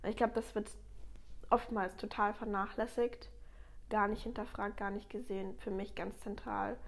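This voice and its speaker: Moderate-paced female speech broken by long, frequent pauses. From Germany, Ludwigshafen area (Palatinate). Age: 20s. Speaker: master baker. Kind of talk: casual interview.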